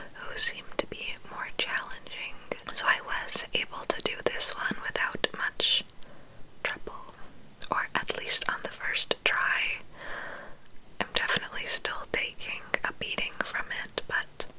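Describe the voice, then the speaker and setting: Whispering at a fairly slow pace, a woman leaves long, frequent pauses over noticeable background noise. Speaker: ASMR creator. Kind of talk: gameplay commentary in ASMR whisper. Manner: whispered, relaxing.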